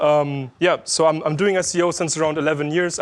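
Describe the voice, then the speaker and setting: A man talks with a slight German accent. His pitch is fairly high and his pace fairly quick. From Germany, Berlin. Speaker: SEO specialist, conference speaker. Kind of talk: conference talk. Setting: stage with audience. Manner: loud; hesitant, many fillers.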